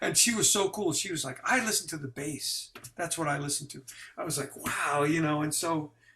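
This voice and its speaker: A man speaks at a fairly quick pace with a fairly high pitch. He has an American accent. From New York, Brooklyn. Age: 60s. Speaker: jazz bassist. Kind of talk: interview. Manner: halting.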